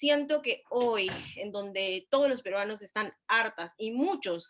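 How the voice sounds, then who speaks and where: A woman with an unremarkable speaking voice talks at a fairly slow pace, her fairly high pitch moving with ordinary variation. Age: 20s. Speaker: congressional candidate. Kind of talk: political debate.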